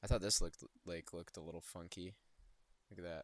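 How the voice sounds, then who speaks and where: A man talks quietly at a fairly quick pace. The sound is dry and close, with no echo. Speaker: travel video creator. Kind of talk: casual screen-share commentary. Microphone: poor audio, close to mic.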